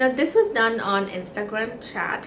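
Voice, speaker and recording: A woman speaks at a moderate pace. Noticeable background noise and audible room echo fill the recording. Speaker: knitting podcaster. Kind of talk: casual chat. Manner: halting.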